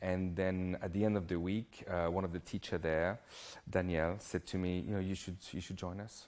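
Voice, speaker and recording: A very clean, silent-background recording of a man with a very deep, low pitch, monotone, flat intonation and a moderate pace. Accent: French. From southern France. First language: French. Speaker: hairdresser. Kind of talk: interview.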